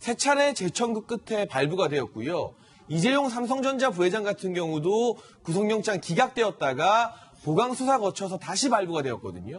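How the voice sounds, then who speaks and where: A man speaks in a high pitch with lively intonation. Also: moderate pace. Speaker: political commentator. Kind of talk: TV news panel discussion. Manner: formal. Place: studio.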